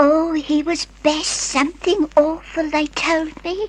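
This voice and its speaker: A woman puts on a character voice at an extremely high pitch and speaks at a fairly slow pace. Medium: old radio play. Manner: chatty, hesitant.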